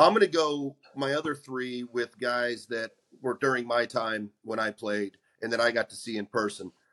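Dry and close with no echo, a man's voice sits at a medium pitch with a bright, sharp tone. He talks at a moderate pace. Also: ordinary pitch variation. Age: 50s. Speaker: former baseball pitcher, podcast co-host. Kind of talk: casual chat.

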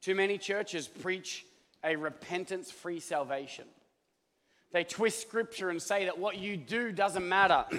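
A man's high-pitched, bright, sharp voice with an Australian accent, an animated tone, ordinary pitch variation, and a fairly slow pace. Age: 40s. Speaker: pastor. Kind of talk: sermon. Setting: church.

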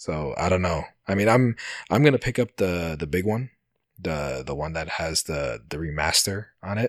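With vocal fry, a man speaks in a very deep, low pitch at a moderate pace, his intonation lively. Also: dry, close sound with no echo. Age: 30s. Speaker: podcast host. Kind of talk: casual chat. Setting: remote call.

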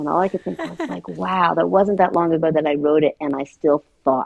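A woman's very deep, low voice with vocal fry at a moderate pace. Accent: American. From New York. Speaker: memoir author. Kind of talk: interview.

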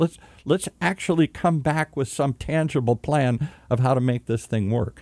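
Here a man speaks with an American accent and a dark, mellow tone at a moderate pace. The recording is very clean and silent in the background, with a dry, close sound and no echo. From US Midwest, Michigan. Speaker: podcast host. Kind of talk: interview. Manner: animated.

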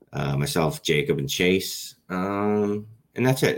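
Music plays in the background as a man with an American accent speaks at a moderate pace. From Philadelphia, US. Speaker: fantasy football analyst. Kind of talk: casual chat.

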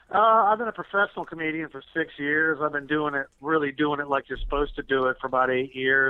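A man at a very fast pace with hardly any pauses, fairly high in pitch, with a Southern US accent and ordinary pitch variation. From US South. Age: 50s. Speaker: musician. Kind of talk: interview.

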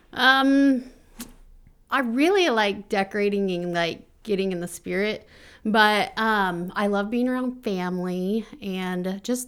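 A woman talks at medium pitch in a plain, everyday voice. The recording is very clean, with a silent background. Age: 30s. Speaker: podcast co-host, wife and mother. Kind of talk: casual chat.

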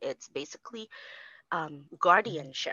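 This woman speaks at a moderate pace with a fairly low pitch. She has an unremarkable speaking voice. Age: 30s. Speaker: single mother, bookkeeper. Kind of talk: casual interview.

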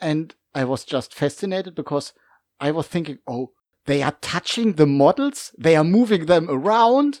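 Recorded very cleanly over a silent background, a man with a German accent speaks at a moderate pace, fairly high in pitch with lively intonation. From Germany. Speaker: game master and hobbyist. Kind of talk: casual chat. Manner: halting, searching for words.

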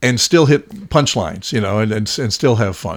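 A man speaks in a normal speaking voice with lively intonation. The recording is very clean, with a silent background. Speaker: radio host. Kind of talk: interview.

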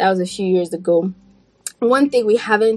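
Against noticeable background noise, a woman talks with ordinary pitch variation. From Burkina Faso. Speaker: public health scientist and podcaster. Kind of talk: casual interview chat. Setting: video call.

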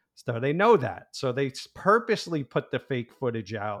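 At a moderate pace, a man in a normal speaking voice talks at a medium pitch with lively intonation, the sound dry and close with no echo. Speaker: podcast co-host. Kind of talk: casual chat.

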